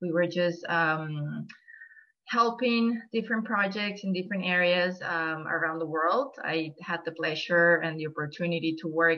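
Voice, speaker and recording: With noticeable background noise behind her, a woman talks at a moderate pace and a fairly low pitch, using ordinary pitch variation. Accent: Venezuelan. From Venezuela. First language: Spanish. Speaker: nonprofit volunteer coordinator. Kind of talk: presentation.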